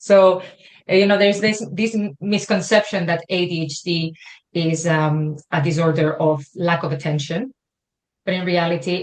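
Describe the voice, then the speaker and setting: Speaking at a moderate pace with a Spanish accent, a woman has a fairly low, somewhat breathy voice and fairly even intonation. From Spain. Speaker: wellbeing consultant. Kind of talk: interview.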